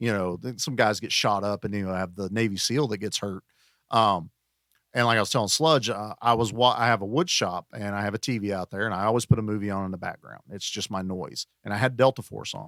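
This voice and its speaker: On a very clean recording with a silent background and a dry, close sound without echo, a man with an unremarkable speaking voice talks at a fairly quick pace, his pitch fairly low with ordinary variation. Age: 40s. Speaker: podcast guest, action movie podcaster. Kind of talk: casual chat.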